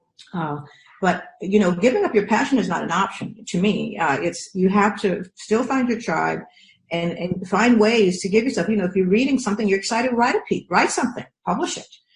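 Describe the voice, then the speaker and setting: This woman speaks at a fairly quick pace with a medium pitch. Her pitch varies in an ordinary way. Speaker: professor. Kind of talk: interview. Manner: fast; animated.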